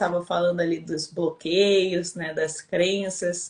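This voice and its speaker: A woman with a Rio de Janeiro accent speaks somewhat breathily at a fairly slow pace. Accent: Rio de Janeiro (carioca). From Brazil, Rio de Janeiro. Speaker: winemaker and women's mentor. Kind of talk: live-stream interview chat.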